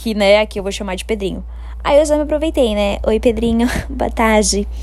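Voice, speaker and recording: A woman's animated voice at a moderate pace, with noticeable background noise. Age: 20s. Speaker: podcaster. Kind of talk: casual storytelling.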